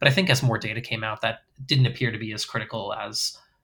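Talking at a fairly quick pace with an American accent, a man has a bright, sharp tone and fairly even intonation. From US Northeast (Massachusetts). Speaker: podcast host. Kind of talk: casual chat.

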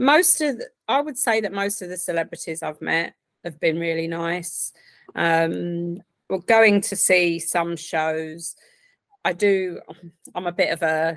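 A woman with an Essex accent speaks at a fairly slow pace, leaving long, frequent pauses. Her pitch is fairly low with ordinary variation. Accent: southern English (Essex). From Essex, England. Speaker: software project coordinator. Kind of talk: casual interview chat.

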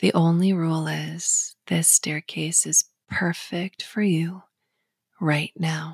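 Recorded very cleanly against a silent background, a woman speaks at a very slow pace in a soothing, calm tone, the sound dry and close with no echo. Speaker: hypnotherapist. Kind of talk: guided hypnosis. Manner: slow, soothing, calm and gentle, rhythmic countdown.

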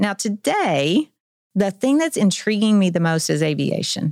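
The speaker uses a normal speaking voice with an American accent and lively intonation. The sound is dry and close, with no echo. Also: woman. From Oklahoma, Tulsa. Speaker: career-education program director. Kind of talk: casual interview. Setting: studio.

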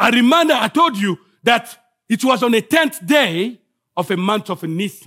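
A man with a Congolese accent speaks in a raised, projected voice at an extremely high pitch, with a bright, sharp tone and lively intonation. His moderate pace comes through in a dry, close sound with no echo. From Congo (DRC). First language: French. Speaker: guest preacher. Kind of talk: sermon. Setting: church.

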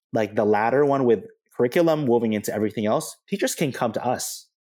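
Lively intonation and a fairly quick pace, with an American accent. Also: man. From Filipino American, US. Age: 30s. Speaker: educator and doctoral researcher. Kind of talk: casual interview. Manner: halting, many fillers and restarts.

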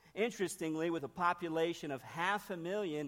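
This man speaks with an American accent in a high register, his pitch varying in an ordinary way. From northern Ohio. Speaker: missionary. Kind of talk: sermon. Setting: church.

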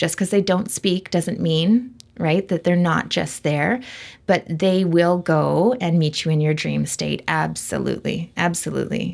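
In a Canadian accent, a woman with a plain, everyday voice speaks at a moderate pace with a fairly low pitch. The recording is very clean, with a silent background. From western Canada (Vancouver). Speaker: medium. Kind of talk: interview.

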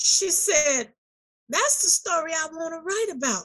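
A woman's raised, projected voice, extremely high in pitch, with an animated tone and a bright, sharp quality. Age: 60s. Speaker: author and gospel show host. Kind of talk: testimony.

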